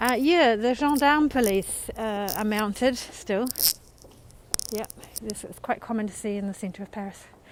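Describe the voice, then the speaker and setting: A woman with a New Zealand accent, fairly high-pitched, at a moderate pace with long, frequent pauses, ordinary pitch variation, big swings in loudness and noticeable background noise. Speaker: live-stream tour guide. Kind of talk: live-stream walking tour. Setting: outdoors, walking through city streets. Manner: casual, chatty.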